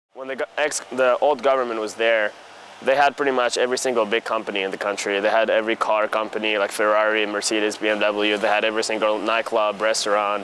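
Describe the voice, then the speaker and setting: Over noticeable background noise, a man talks at a very fast pace in a medium pitch with monotone, flat intonation. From Tunisia. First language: French. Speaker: college student and tennis player. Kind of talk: interview. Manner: casual, filler-heavy.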